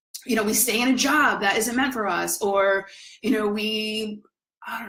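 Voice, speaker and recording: A normal speaking voice from a woman, pitched fairly high, moderately paced, with ordinary pitch variation. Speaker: spiritual coach. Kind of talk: live stream talk.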